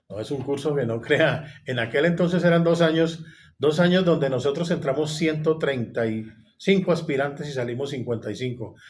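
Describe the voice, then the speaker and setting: Somewhat breathy and fairly high-pitched, a man talks with ordinary pitch variation and audible room echo. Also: moderate pace. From Colombia, Bogotá. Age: 60s. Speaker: retired police officer. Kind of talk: interview.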